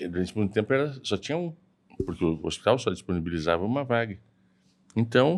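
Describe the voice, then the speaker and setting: Talking at a very fast pace yet with long, frequent pauses, a man uses a fairly low voice with very wide pitch swings. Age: 60s. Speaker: hip surgeon and university professor. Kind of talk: casual interview chat.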